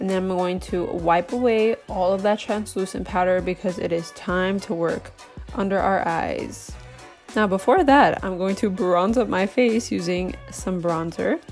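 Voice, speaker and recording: A woman at medium pitch, speaking at a fairly slow pace with ordinary pitch variation and music in the background. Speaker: makeup artist. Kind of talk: casual makeup tutorial talk to camera.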